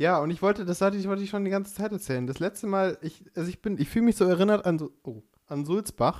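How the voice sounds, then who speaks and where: Very fast pace with ordinary pitch variation. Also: man, high pitch for a man. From Upper Bavaria. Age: 20s. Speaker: podcast co-host, aspiring musical performer. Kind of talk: casual chat. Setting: Skype call.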